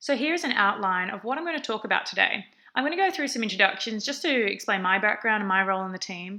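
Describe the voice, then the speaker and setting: Over a silent background in a very clean recording, a woman with an Australian accent talks at a very fast pace in a bright, sharp tone with lively intonation. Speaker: research assistant. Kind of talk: conference presentation. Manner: frequent fillers (um).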